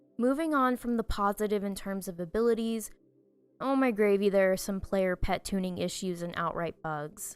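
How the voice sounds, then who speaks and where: Music plays in the background as a woman speaks at a medium pitch and a moderate pace. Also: ordinary pitch variation. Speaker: pet battle gaming commentator. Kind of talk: scripted review narration.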